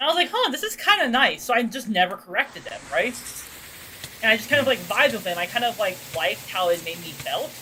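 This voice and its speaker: A woman talks at a very fast pace in a high pitch with very wide pitch swings. Noticeable background noise sits behind her. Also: big swings in loudness. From Australia. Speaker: vtuber streamer. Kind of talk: casual chat. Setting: livestream. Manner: loud.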